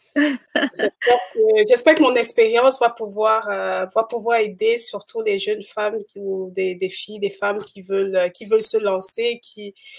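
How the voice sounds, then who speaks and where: In a normal speaking voice, a woman talks at a fairly slow pace with hardly any pauses, a fairly high pitch, ordinary pitch variation and big swings in loudness. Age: 30s. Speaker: entrepreneur. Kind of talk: live interview. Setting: livestream.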